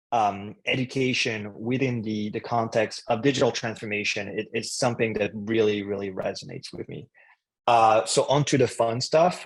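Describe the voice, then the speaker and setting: Speaking in a French accent at a moderate pace, a man uses medium pitch and fairly even intonation on a very clean recording with a silent background. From France. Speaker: head of marketing at a tech company. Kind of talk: interview. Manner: hesitant, many fillers.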